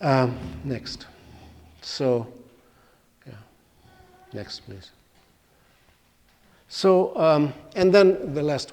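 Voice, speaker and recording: Using an Arabic accent, a man speaks at a very slow pace with lively intonation, big swings in loudness and long, frequent pauses. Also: fairly high pitch for a man. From Palestine, East Jerusalem. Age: 70s. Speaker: guest speaker. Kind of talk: public talk. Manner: halting.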